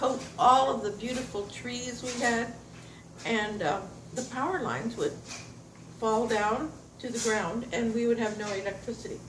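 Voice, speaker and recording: Audible room echo and noticeable background noise accompany a woman with an American accent, who speaks at a fairly slow pace and a fairly high pitch with ordinary pitch variation. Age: 80s+. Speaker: retired farmer. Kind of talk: oral history recollection. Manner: halting.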